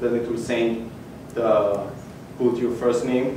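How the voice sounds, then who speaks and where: A man speaks amid noticeable background noise, his voice carrying audible room echo. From Ethiopia. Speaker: hackathon participant presenting his project. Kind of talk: project demo pitch. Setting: stage with audience. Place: hall. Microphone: camera far.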